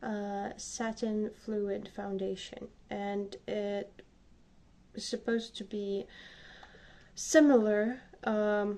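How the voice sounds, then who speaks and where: Speaking very slowly in a Slavic accent, a woman has a dark, mellow tone, medium pitch and monotone, flat intonation. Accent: Slavic accent, non-native English. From Slavic country. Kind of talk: casual makeup tutorial talk to camera.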